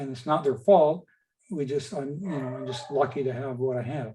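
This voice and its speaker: Somewhat breathy and dark, mellow in tone, a man with a fairly high pitch speaks at a moderate pace with ordinary pitch variation. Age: 60s. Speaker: patient speaker. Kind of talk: webinar Q&A. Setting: video call.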